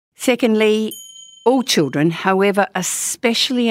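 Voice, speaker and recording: A woman talks at a very slow pace in an Australian accent. Her intonation is lively. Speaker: podcast host, parenting educator. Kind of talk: casual chat. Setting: studio.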